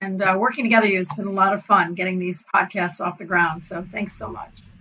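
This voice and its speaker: Noticeable background noise sits behind a woman speaking at a fairly quick pace. Her voice is medium-pitched with fairly even intonation. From US, child of German immigrants. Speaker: advertising association executive. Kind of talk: casual interview chat.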